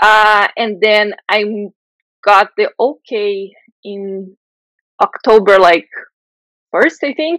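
In a Portuguese accent, a woman with a fairly high pitch and ordinary pitch variation speaks at a very slow pace with long, frequent pauses, the sound dry and close with no echo. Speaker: software engineering manager. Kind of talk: interview.

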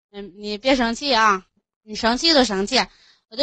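Fairly even intonation in a Hebei accent. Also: woman. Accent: Qian'an local dialect. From Qian'an, Hebei (Tangshan). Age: 20s. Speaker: caller, housewife. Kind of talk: casual chat. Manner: fast.

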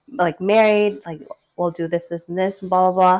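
A woman's medium-pitched voice, an ordinary speaking voice with ordinary pitch variation. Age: 30s. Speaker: podcast co-host. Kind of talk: casual chat.

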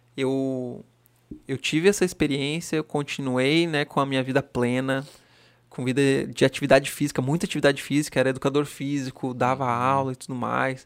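A man's plain, everyday voice at medium pitch, fairly quick and fairly even in intonation, on a very clean recording with a silent background. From Santa Catarina highlands (Lages), family from Rio Grande do Sul. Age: 30s. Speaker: firefighter aircrew member and café owner. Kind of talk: casual chat.

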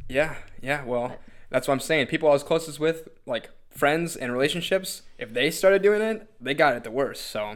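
Speaking at a moderate pace, a man has a plain, everyday voice, a fairly high pitch and ordinary pitch variation. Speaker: podcast host. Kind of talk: casual chat.

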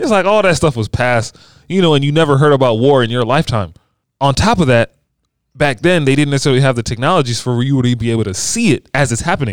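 He is a man with an American accent and a medium pitch. He talks very fast, with lively intonation. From Maryland, DC area (Bowie). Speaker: youth minister and podcaster. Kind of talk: casual chat. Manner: smooth.

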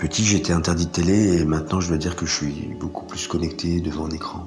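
A man speaks at a moderate pace with a very deep, low pitch and fairly even intonation. Audible echo from the room surrounds his voice. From France, raised by French adoptive parents (born in Colombia). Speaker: interviewee, former cowherd. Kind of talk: personal testimony. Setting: remote recording.

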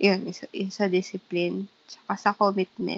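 A woman with an ordinary speaking voice, fairly even intonation and a fairly slow pace. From Philippines. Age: 20s. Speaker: podcast co-host. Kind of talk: casual chat.

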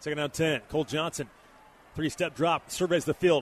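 A man with a normal speaking voice and fairly even intonation, recorded dry and close with no echo. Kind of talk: live play-by-play commentary. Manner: fluent, fast, clipped play-by-play delivery.

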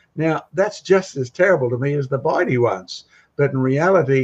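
With an Australian accent, a man talks in a somewhat breathy voice. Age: 70s. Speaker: creationist speaker. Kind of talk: casual panel discussion. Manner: animated.

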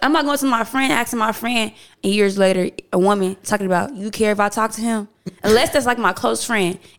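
A woman speaks at a fairly quick pace. Her voice is fairly high, with ordinary pitch variation. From Houston, Texas. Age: 20s. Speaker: DJ. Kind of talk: casual chat.

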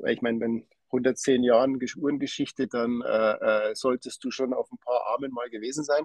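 A man with a plain, everyday voice speaks at medium pitch and a moderate pace. His intonation is fairly even, and the sound is dry and close with no echo. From Lower Bavaria, Germany. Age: 40s. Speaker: watch company owner. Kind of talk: interview.

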